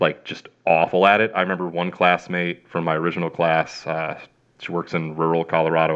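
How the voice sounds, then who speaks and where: In a Chicago accent, a man with a very deep, low pitch talks at a moderate pace. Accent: Chicago-area Midwestern. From Chicago area, Illinois. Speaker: veterinarian. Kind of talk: casual interview chat.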